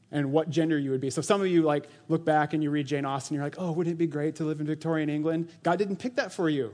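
A man with an unremarkable speaking voice talks at a fairly high pitch. His intonation stays fairly even over a quiet background. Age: 40s. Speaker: church elder and preacher. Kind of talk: sermon. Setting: church. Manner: casual, conversational with frequent laughter.

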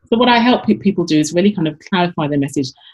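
The somewhat breathy voice moves at a fairly quick pace with lively intonation. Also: woman. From London, England. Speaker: business coach and author. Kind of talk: interview conversation.

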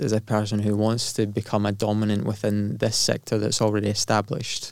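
A man speaks with a Glaswegian accent at a fairly quick pace. His pitch is fairly low. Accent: Glaswegian Scottish. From Scotland, Glasgow. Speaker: entrepreneur. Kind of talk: casual interview.

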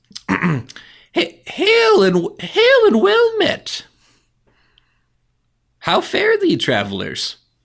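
In a put-on character voice, a man talks at a very slow pace and an extremely high pitch, recorded very cleanly against a silent background. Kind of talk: archaic, formal.

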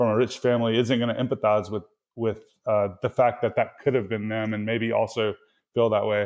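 Here a man speaks at a moderate pace with a slight Mississippi accent. His pitch is medium. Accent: Mississippi Southern US, slight. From Mississippi, US South. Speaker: developer advocate. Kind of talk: casual interview chat. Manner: fairly relaxed, hesitant with fillers.

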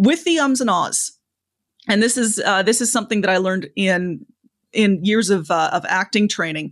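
A woman with a Canadian accent in a plain, everyday voice, medium pitch, lively intonation and moderate pace, over a quiet background. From Canada. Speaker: public speaking coach. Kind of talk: interview conversation, advice.

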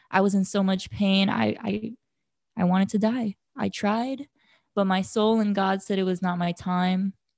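A woman of medium pitch speaks somewhat breathily with fairly even intonation on a very clean recording with a silent background. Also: fairly slow pace. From Hawaii. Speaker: nonprofit board member and graphic designer. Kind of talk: casual chat; reading aloud from journal. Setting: Hawaii, looking out at the ocean.

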